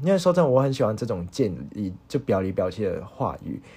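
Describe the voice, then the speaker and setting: A man's voice with lively intonation and a dark, mellow tone. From Hong Kong. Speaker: podcast host, university student. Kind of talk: solo casual monologue, unscripted. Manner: halting, many fillers.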